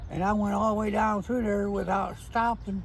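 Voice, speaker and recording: Over noticeable background noise and audible room echo, a man speaks with a St. Louis accent at a high pitch. His delivery is fairly slow and his intonation monotone and flat. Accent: Midwestern US, St. Louis. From St. Louis area, Missouri (Ferguson/Florissant). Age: 60s. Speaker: interviewee, retired maintenance worker. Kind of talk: casual interview. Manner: short, plain answers.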